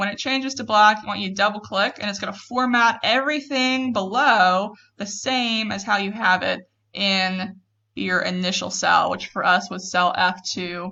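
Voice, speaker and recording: A woman speaks at a medium pitch with fairly even intonation. Her pace is fairly slow, and she has an ordinary speaking voice. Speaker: student tutorial presenter. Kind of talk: tutorial.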